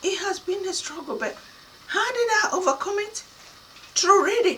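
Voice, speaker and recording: A woman's raised, projected voice in an African accent, extremely high in pitch and bright, sharp in tone, at a moderate pace. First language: Kana (Nigerian language). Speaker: motivational speaker. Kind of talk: motivational talk.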